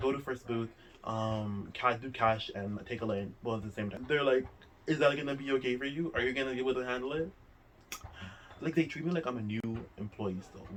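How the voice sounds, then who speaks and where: A man with a non-native accent talks at a very fast pace. His voice sits at medium pitch with ordinary variation. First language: not English. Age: 20s. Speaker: vlogger. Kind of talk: casual chat. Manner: fast, filler-heavy talk.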